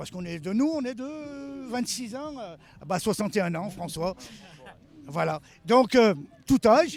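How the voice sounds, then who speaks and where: Fairly slow pace from a man. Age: 60s. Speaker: car mechanic and drift car builder. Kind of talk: on-site interview. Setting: outdoors at a motor event.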